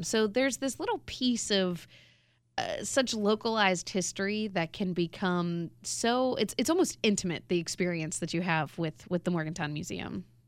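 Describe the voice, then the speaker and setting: The intonation here is lively and the pace moderate. It is an unremarkable speaking voice. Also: woman. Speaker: radio co-host.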